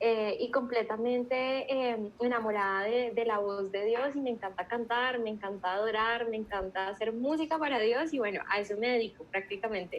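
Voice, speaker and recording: An unremarkable speaking voice from a woman, moderate in pace, fairly high-pitched, with ordinary pitch variation. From Colombia, Bogotá. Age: young. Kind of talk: casual chat.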